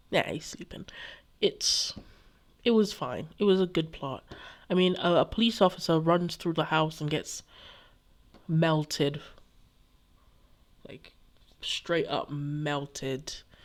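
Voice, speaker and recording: A woman's fairly low voice at a very slow pace, with long, frequent pauses, ordinary pitch variation and big swings in loudness, on a very clean recording with a silent background. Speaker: book vlogger. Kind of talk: casual chat. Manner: halting.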